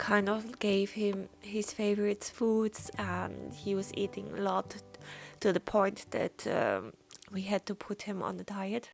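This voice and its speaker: Music can be heard behind the voice. The delivery is very slow. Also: woman. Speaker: watercolor painter. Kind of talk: casual talk while painting. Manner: hesitant, with fillers.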